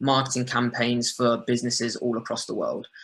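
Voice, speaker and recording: A man speaks at a moderate pace in a medium pitch. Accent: southern English. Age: young. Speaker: digital marketer. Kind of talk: webinar presentation.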